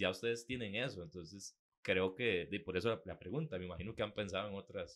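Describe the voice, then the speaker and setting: A man at a fairly quick pace, fairly low in pitch, with ordinary pitch variation. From Costa Rica. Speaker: podcast co-host. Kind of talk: casual chat. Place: studio. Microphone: studio mic.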